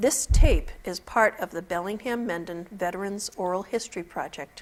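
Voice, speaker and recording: A woman's normal speaking voice, medium-pitched, at a moderate pace with ordinary pitch variation and big swings in loudness, on a very clean recording with a silent background. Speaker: oral history interviewer. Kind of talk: formal interview introduction. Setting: studio.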